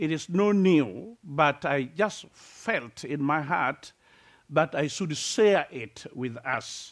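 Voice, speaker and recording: A man speaks with a Kenyan accent. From Kenya, rural village near Lake Victoria. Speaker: preacher. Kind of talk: sermon. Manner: halting, many fillers.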